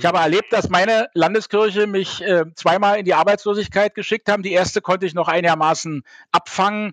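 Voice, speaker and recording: A man's high-pitched voice at a fairly quick pace with ordinary pitch variation, dry and close with no echo, against a quiet background. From Berlin (West Berlin). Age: 50s. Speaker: party official and theologian. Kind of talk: interview. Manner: hesitant with fillers.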